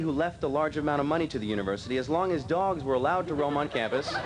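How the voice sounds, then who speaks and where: A man at a fairly high pitch and a very fast pace, with hardly any pauses and noticeable background noise. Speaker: college graduating class president. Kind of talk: humorous graduation speech to an audience.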